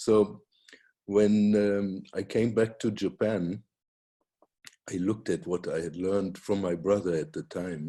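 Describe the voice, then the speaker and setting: In a German accent, a man speaks with a dark, mellow tone and fairly even intonation at a fairly slow pace. Long, frequent pauses break his speech, and the background is quiet. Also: fairly low pitch for a man. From Germany. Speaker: Reiki teacher and author. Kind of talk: casual chat.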